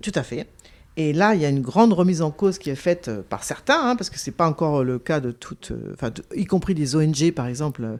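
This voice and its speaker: Speaking at a very fast pace, a woman uses a very deep, low pitch with very wide pitch swings. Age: 60s. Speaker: investigative journalist and author. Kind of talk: interview. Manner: hesitant, many fillers.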